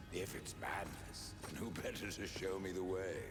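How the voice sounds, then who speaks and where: A man uses a cartoonish character voice with a very deep, low pitch at a moderate pace. Loud background noise runs throughout. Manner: grave, terse, cold.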